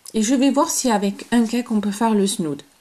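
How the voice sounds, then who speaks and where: A woman's fairly high pitch amid noticeable background noise. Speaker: crochet tutorial creator. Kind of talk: tutorial. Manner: hesitant, many fillers.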